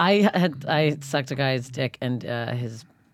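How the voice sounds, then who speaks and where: A woman with a very deep, low voice speaks in a Canadian accent. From Canada. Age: 30s. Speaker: stand-up comedian. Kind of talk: casual chat.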